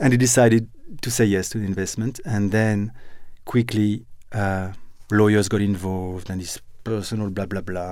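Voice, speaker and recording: With a French accent, a man speaks at a moderate pace in a fairly low voice, his intonation fairly even. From France. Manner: halting, hesitant.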